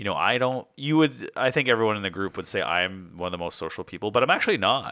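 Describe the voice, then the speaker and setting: At a fairly quick pace, a man with an ordinary speaking voice talks at a fairly low pitch with lively intonation. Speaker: board game podcast co-host. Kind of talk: casual chat.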